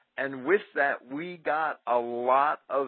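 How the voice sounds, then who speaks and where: A man speaks at a medium pitch with ordinary pitch variation. His is an ordinary speaking voice. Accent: American. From New Jersey, Jersey City. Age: 40s. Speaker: radio co-host. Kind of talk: casual chat.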